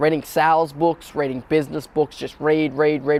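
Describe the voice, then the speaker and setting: Speaking with an Australian accent, a man with a fairly high pitch talks at a moderate pace. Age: 20s. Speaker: young entrepreneur. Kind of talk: personal profile interview. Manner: casual, with many fillers.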